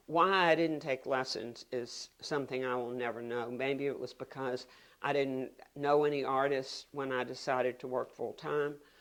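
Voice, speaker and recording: A woman with a Virginia accent speaks at a moderate pace in a very deep, low pitch, her intonation fairly even. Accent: Virginia Southern American. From US South, Virginia (Richmond). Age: 70s. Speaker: painter. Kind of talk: interview monologue. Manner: halting.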